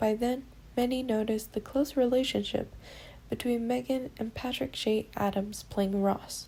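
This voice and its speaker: With a dark, mellow tone and a somewhat breathy quality, a woman speaks at fairly high pitch and a moderate pace with fairly even intonation. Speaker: audiobook narrator. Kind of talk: audiobook reading.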